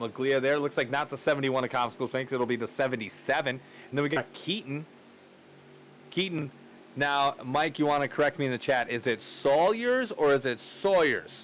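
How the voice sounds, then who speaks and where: A man's fairly high voice with a Wisconsin accent, at a fairly quick pace, with ordinary pitch variation. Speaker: sim racing commentator. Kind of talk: live commentary. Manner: casual.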